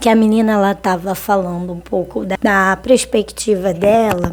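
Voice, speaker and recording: A woman with a medium pitch and a dark, mellow tone speaks at a fairly slow pace. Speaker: vlogger. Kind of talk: casual monologue vlog. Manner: conversational, hesitant with fillers.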